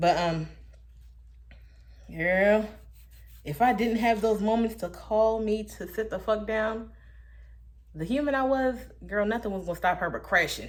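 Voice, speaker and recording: Amid audible room echo, a woman speaks at a fairly slow pace in a fairly high pitch with ordinary variation and long, frequent pauses. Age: 20s. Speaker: vlogger. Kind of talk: casual monologue. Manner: animated.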